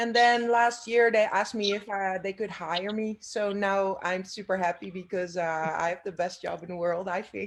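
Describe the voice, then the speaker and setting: Speaking at a moderate pace with hardly any pauses, a woman with a Dutch accent uses a medium pitch and fairly even intonation. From Netherlands. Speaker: breed association staff. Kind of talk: video meeting introduction. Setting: video call.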